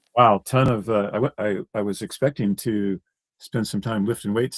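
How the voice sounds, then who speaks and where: A fairly low-pitched man, the sound dry and close with no echo. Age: 50s. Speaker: live stream host, roofer. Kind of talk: casual chat. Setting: live stream.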